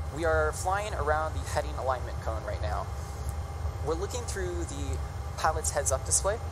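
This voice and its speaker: Speech at a moderate pace amid noticeable background noise. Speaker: presenter explaining shuttle landing. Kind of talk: narrated commentary over video. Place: stage.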